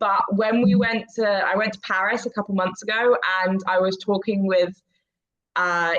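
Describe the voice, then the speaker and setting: A woman with an English accent, medium in pitch, with fairly even intonation. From England. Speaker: immigration paralegal. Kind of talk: casual chat.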